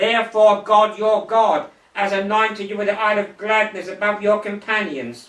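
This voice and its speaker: With noticeable background noise behind him, a man speaks at a moderate pace in a high voice with ordinary pitch variation. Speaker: evangelist and Bible teacher. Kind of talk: Bible teaching.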